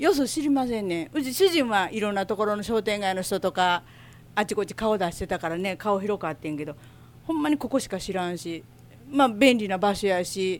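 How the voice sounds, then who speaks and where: In an Osaka accent, a woman at a medium pitch talks at a fairly quick pace with lively intonation. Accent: Osaka Kansai dialect. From Osaka, Minato ward. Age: 60s. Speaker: shop owner. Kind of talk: interview. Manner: casual.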